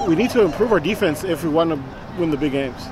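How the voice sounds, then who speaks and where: There is crowd noise behind this man's voice. The sound is dry, with no echo. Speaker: sports fan vlogger. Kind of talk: casual commentary. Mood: engaged, mildly critical. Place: street.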